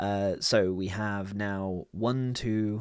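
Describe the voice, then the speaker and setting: The recording is very clean, with a silent background and a dry, close sound with no echo. A man speaks with a fairly low pitch. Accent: British. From United Kingdom. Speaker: programmer. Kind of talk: coding tutorial walkthrough.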